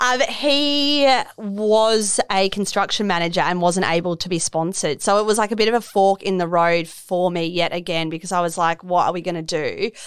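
A woman with an Australian accent talks at a moderate pace and medium pitch, with ordinary pitch variation and hardly any pauses. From Melbourne, Australia. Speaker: fashion designer. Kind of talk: casual interview chat. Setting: studio.

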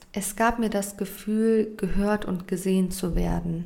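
The voice is monotone and flat, moving at a very slow pace through audible room echo. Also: woman. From Germany. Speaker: podcaster and influencer. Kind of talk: personal testimony.

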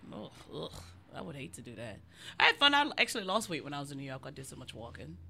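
Speaking at a very fast pace, a woman with a very deep, low pitch and a bright, sharp tone makes very wide pitch swings and big swings in loudness, with audible room echo around her. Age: 30s. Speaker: comedian podcast co-host. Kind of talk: casual chat. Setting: garage.

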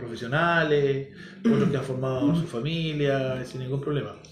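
Amid audible room echo and noticeable background noise, a man with a Chilean accent speaks at a fairly high pitch. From Chile, San Fernando. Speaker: podcast guest, teacher. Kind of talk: casual chat. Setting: home studio, his house.

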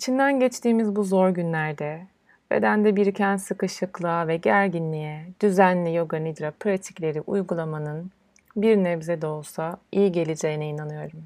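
On a very clean recording with a silent background, a woman with an unremarkable speaking voice speaks at a fairly low pitch with ordinary pitch variation. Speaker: yoga teacher. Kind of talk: guided meditation. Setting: solo recording. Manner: slow, calm, soothing; soft-spoken, with long pauses.

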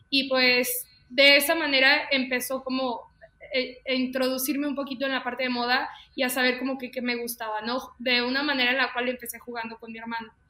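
A woman with a high pitch speaks at a fairly quick pace in a raised, projected voice and a monotone, flat intonation. Noticeable background noise runs underneath. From León, Guanajuato, Mexico. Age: 20s. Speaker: fashion designer and stylist. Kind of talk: casual interview chat.

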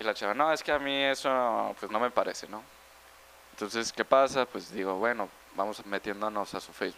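Fairly quick in pace, a man with an unremarkable speaking voice talks at a medium pitch with ordinary pitch variation. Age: 20s. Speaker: math student. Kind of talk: casual chat.

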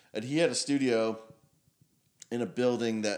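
This man speaks at a moderate pace. His intonation stays fairly even. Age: 50s. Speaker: musician and music scene figure. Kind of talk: casual chat.

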